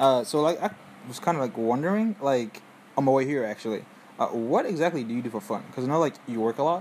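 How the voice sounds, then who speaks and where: Lively in intonation, a man at medium pitch talks at a very fast pace. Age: young. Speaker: student interviewer. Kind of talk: casual interview.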